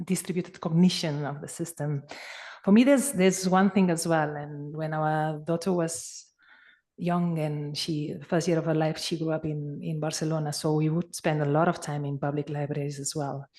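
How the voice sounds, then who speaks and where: With a Spanish accent, a woman speaks at a moderate pace with ordinary pitch variation. Her very deep, low pitch has a dark, mellow tone over a quiet background. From Spain. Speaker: conference participant. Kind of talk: discussion comment. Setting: conference. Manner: halting.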